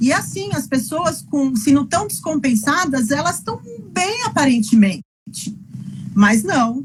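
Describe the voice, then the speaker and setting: Her pitch high, a woman talks at a fairly slow pace with very wide pitch swings and long, frequent pauses. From Brazil, interior of São Paulo state. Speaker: physician and patient advocate. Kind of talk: interview. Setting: live video call. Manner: halting, many repetitions.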